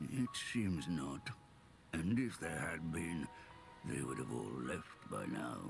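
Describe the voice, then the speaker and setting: A man uses a put-on character voice with a very deep, low pitch and very wide pitch swings. He goes at a fairly slow pace with long, frequent pauses, over clear background noise. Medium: video game. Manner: slow, warm, grandfatherly.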